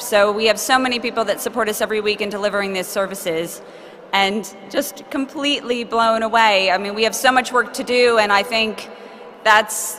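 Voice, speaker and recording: Against noticeable background noise, the speaker keeps a moderate pace and fairly even intonation. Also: woman. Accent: American. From United States. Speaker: charity representative accepting award. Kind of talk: acceptance speech. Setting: stage with audience at awards ceremony.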